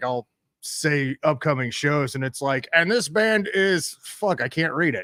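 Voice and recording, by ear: Speaking at a fairly slow pace, a man uses a fairly high pitch with a bright, sharp tone and ordinary pitch variation.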